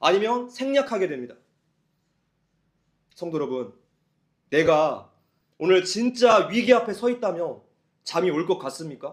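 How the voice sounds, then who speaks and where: Lively intonation colors a man's fairly slow speech. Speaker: pastor. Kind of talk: sermon.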